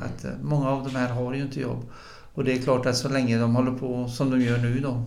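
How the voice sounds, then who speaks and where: A man talks at a fairly quick pace in a monotone, flat delivery. Audible room echo surrounds his voice. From northern Bohuslän, western Sweden. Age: 60s. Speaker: football club chairman and politician. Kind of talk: casual chat.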